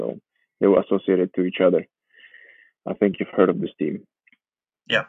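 A man with a Georgian accent speaks at a very deep, low pitch. His intonation is fairly even, broken by long, frequent pauses. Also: fairly quick pace. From Georgia, raised in Warsaw, Poland. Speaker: professional footballer. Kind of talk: casual interview.

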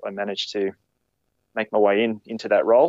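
A man speaks at a moderate pace with an Australian accent. The sound is dry and close with no echo, over a quiet background. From Queensland, Australia. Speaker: firefighter and photographer. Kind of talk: casual interview chat.

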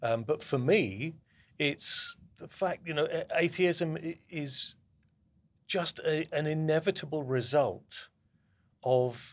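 With a southern English accent, a man speaks at a fairly slow pace, leaving long, frequent pauses. His pitch is fairly high, with ordinary variation. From southern England.

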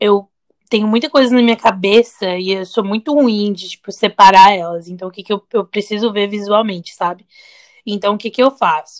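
A woman with an unremarkable speaking voice talks at a moderate pace with ordinary pitch variation. Her loudness swings widely, and the sound is dry and close with no echo. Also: medium pitch for a woman. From Brazil, teen years in the US. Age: 30s. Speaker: podcast co-host. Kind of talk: casual chat.

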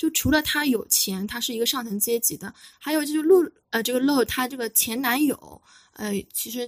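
Her voice is high-pitched with lively intonation, and the woman talks at a fairly quick pace. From China, Wuxi. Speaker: film critic and Chinese teacher. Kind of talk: casual film discussion.

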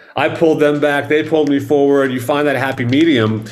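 With audible room echo, a man with an American accent talks very fast at a fairly high pitch. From Dallas, Texas. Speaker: rock drummer. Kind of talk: casual interview chat.

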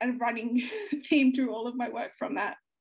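A woman's high voice with an Australian accent, fairly quick, with ordinary pitch variation. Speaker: young adult author. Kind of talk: interview.

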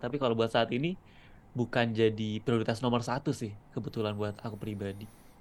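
Against a quiet background, a man talks in a normal speaking voice. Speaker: content creator and videographer. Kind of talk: casual interview chat.

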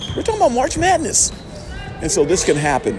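An animated man talks at a fairly quick pace over noticeable background noise. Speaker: podcast host. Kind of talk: heated rant, fired-up shouted pep talk. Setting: at a high school gym, in person. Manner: loud, animated, defiant; friendly, enthusiastic.

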